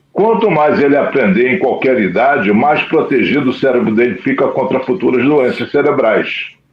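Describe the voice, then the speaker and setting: Talking at a moderate pace, a man can be heard with audible room echo. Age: 70s. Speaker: psychologist. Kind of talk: TV interview.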